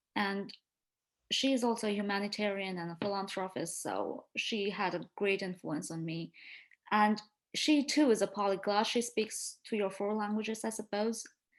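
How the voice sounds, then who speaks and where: A woman with an Indian accent talks with ordinary pitch variation. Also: medium pitch for a woman, moderate pace, quiet background. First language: Marathi. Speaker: medical doctor. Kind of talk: interview.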